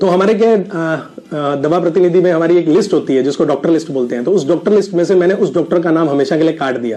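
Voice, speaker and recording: A man with a high pitch and ordinary pitch variation speaks with hardly any pauses. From India, Rajasthan (Sri Ganganagar). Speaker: network marketing business owner, ex pharma rep. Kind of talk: personal success story testimony. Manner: hesitant with frequent filler sounds.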